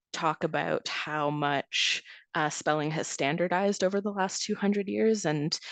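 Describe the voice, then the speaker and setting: In a Canadian accent, a woman speaks at a very deep, low pitch with ordinary pitch variation, the sound dry and close with no echo against a quiet background. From Greater Toronto Area suburb, Canada. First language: Serbian. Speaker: essayist. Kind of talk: interview.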